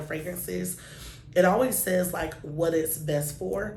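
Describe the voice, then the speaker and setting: Amid noticeable background noise and audible room echo, a woman with a very deep, low pitch talks at a fairly slow pace with lively intonation. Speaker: beauty vlogger. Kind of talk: product review. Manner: casual, filler-heavy.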